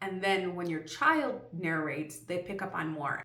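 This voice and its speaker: Noticeable background noise and audible room echo around a woman's speech. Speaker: homeschooling parent and video creator. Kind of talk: tutorial. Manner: fast.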